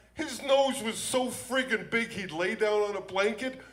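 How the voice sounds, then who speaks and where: A man speaks at a moderate pace, and audible room echo surrounds his words. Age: 60s. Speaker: comedian. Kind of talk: stand-up. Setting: stage with audience. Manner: animated.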